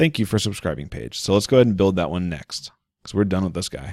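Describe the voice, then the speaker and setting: A man speaks with a very deep, low pitch and vocal fry. The sound is dry with no echo, over a quiet background. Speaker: online marketing tutorial creator. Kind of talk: screen-share tutorial. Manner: fast; casual, conversational. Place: home room. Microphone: studio mic.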